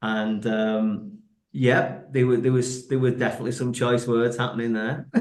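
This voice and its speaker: Over audible room echo, someone with a Mancunian accent speaks at a moderate pace with ordinary pitch variation. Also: man, medium pitch for a man. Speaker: actor and brewer. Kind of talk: casual chat.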